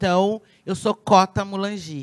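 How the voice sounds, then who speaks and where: On a very clean recording with a silent background and a dry, close sound with no echo, a woman speaks in a normal speaking voice at a fairly slow pace. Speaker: pediatrician and community leader. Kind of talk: conference talk.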